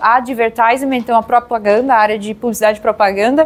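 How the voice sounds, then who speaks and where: With a Pará accent, a woman speaks high in her range with fairly even intonation over noticeable background noise. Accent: Pará accent, drawn-out S. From Brazil, Pará (northern Brazil). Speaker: HR professional, meetup speaker. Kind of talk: conference talk. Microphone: audio problems in much of the video.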